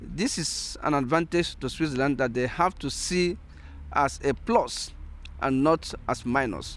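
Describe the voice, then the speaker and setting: A man with a Nigerian accent speaks at a fairly slow pace. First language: Igbo. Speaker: philosopher and sociologist, integration activist. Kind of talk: interview. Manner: halting, many fillers.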